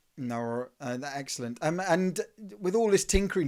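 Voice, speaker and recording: With an Essex accent, a man speaks at a moderate pace in a fairly high voice with lively intonation. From England, Southend in Essex. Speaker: interview show host. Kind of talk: interview.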